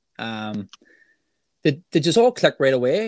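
A man's voice in a dry, close sound with no echo. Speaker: podcast co-host. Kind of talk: interview.

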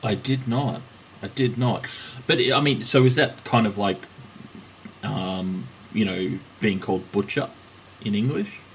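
A man with a Melbourne accent and fairly low pitch, at a fairly slow pace with long, frequent pauses and ordinary pitch variation. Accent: Australian, Melbourne-type. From Australia. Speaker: cycling podcast host. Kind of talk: casual banter chat.

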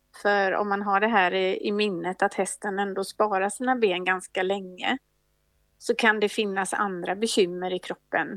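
A woman's normal speaking voice at a medium pitch, fairly slow in pace with fairly even intonation, on a very clean recording with a silent background and a dry, close sound with no echo. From Sweden, Gothenburg. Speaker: equine veterinarian. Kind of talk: interview.

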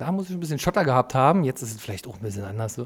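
Very clean audio of a male speaker, the background completely silent. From East Berlin (Lichtenberg). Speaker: podcast host. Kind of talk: casual chat.

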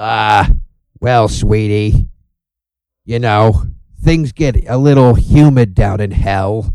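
Putting on a raspy character voice in a New York accent, a man talks very slowly at a fairly low pitch. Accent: Staten Island. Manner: flirty, sassy.

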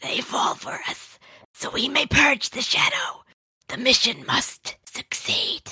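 Fairly slow, raspy delivery in a put-on character voice. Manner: eerie, possessed.

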